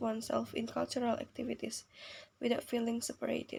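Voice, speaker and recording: A woman with a non-native accent at a fairly quick pace. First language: not English. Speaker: university student. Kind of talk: reading aloud. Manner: halting.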